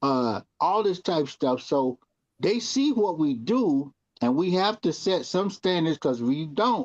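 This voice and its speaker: With very wide pitch swings, a man speaks at a high pitch over a quiet background. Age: 60s. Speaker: TV talk show co-host. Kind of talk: casual panel discussion.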